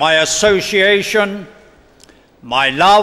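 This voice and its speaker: A raised, projected voice with a British accent, at a very slow pace. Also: man. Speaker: member of parliament. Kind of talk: formal speech. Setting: stage with audience at convention. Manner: emphatic. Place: hall. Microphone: podium.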